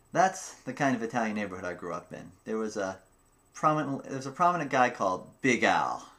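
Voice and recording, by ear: A man at a fairly quick pace, fairly low in pitch, with a fairly bright tone and big pitch swings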